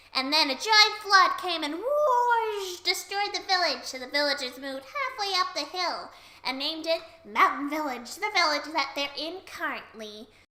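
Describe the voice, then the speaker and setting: The woman's voice sits at an extremely high pitch and moves at a moderate pace. Her loudness swings widely. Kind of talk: comic anecdote retelling. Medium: read story. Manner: fast, jokey.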